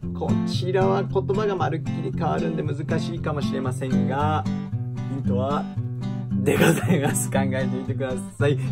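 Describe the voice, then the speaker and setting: Over loud music in the background, a man speaks at a fairly slow pace. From Hiroshima, Onomichi. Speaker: actor. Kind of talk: casual talk to camera. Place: studio. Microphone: phone near.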